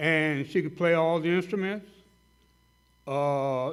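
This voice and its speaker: A man with a Southern US accent speaks loudly at a fairly slow pace with ordinary pitch variation, and audible room echo is present. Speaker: dentist speaking at a hall of fame banquet. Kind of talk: tribute speech. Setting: banquet hall with audience. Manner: halting, many fillers.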